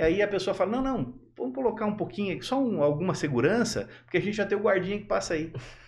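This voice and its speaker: With hardly any pauses, a high-pitched man talks at a very fast pace with lively intonation. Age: 50s. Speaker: electronic security expert. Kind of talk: casual chat.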